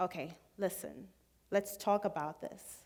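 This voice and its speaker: With a Zambian accent, a woman talks at medium pitch. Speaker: student speaker. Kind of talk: public talk.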